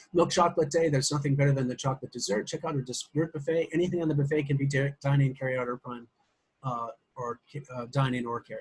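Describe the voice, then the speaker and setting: A man with an American accent, fairly high in pitch and somewhat breathy, at a very fast pace with fairly even intonation and big swings in loudness. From US Midwest. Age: old. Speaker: social media marketer. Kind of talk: business call pitch. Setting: conference call.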